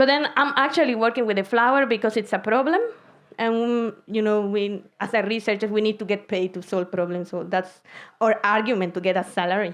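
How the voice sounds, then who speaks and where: A woman with a Spanish accent talks at a fairly quick pace against a quiet background. Her voice is fairly high, with ordinary pitch variation. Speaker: concrete researcher. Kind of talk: science slam talk. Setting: stage with audience. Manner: casual, animated.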